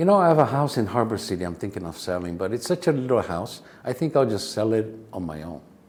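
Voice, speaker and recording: Speaking very fast with a non-native accent, a man swings his pitch very widely. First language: not English. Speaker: real estate agent and educator. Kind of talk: interview answer. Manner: casual, storytelling.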